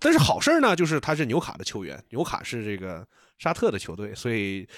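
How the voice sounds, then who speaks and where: At a fairly quick pace, a man is speaking. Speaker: F1 podcast host. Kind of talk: casual chat, race review podcast.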